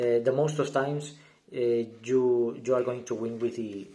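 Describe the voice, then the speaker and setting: In a room with audible echo, a man with a dark, mellow tone speaks at a medium pitch and fairly slow pace, his intonation fairly even. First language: not English. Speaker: gaming YouTuber. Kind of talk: deck profile tutorial. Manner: halting, many fillers and repeats.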